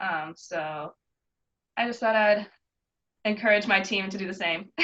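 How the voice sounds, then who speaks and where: Speaking at a fairly slow pace, a woman has a bright, sharp tone, medium pitch and ordinary pitch variation. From Canada, Windsor, Ontario. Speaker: college soccer player. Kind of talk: interview. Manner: casual, many filler words.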